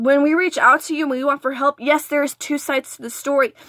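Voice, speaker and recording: A woman talks at a fairly quick pace in a raised, projected voice, high-pitched with a bright, sharp tone and fairly even intonation. The very clean recording is dry and close with no echo, against a silent background. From Texas border region. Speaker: vlogger. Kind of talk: story time vlog. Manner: stuttering.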